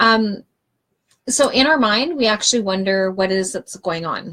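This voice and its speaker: A woman's plain, everyday voice at a moderate pace. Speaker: wellness coach. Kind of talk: live stream talk. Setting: live video stream.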